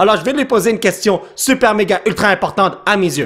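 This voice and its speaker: A man speaks with a Quebec accent at a fairly quick pace. Noticeable background noise runs under his voice. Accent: Québécois. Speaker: YouTube gamer. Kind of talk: gameplay commentary. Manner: animated.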